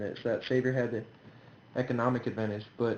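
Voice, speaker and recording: A man speaks at a fairly quick pace and a medium pitch. He has an ordinary speaking voice. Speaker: game commentator. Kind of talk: game analysis commentary.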